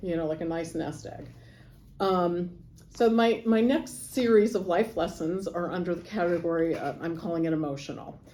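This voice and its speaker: A woman with an American accent speaks at a moderate pace, her fairly low pitch moving in an ordinary way. Her tone is dark and mellow, and the room gives an audible echo. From Los Angeles, US. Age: 60s. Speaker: lawyer and service club volunteer. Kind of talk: motivational talk to youth. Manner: casual, hesitant with fillers.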